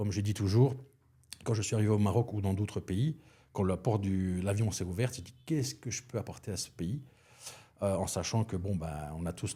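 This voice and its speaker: A man with a fairly low, somewhat breathy voice and a dark, mellow tone speaks fairly quickly with ordinary pitch variation in a very clean recording with a silent background. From Belgium. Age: 50s. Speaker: chef and restaurant consultant. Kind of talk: podcast interview. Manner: hesitant, many fillers.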